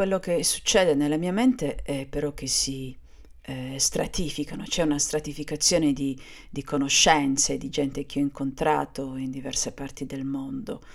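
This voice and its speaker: Woman's voice, very deep and low in pitch, with ordinary pitch variation. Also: moderate pace. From Sardinia, Cagliari. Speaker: podcaster. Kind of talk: personal monologue. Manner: halting, with hesitations.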